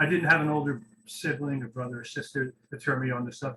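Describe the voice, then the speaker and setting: The speaker is a man with an ordinary speaking voice at medium pitch. He talks at a fairly quick pace with fairly even intonation. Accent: American. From US Northeast, Boston. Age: 50s. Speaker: record label owner. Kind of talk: casual interview.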